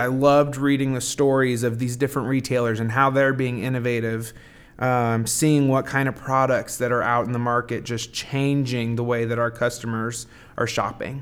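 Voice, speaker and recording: A man talks in a normal speaking voice at medium pitch. His intonation is fairly even and his pace moderate. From southern Indiana. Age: 20s. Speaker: hardware retail manager. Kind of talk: interview.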